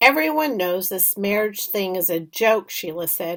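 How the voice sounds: The voice reads aloud in a natural way.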